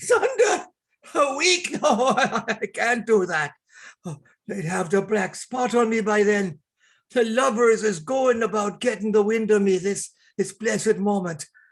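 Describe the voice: Putting on a character voice, a man speaks high-pitched and fairly slowly with lively intonation.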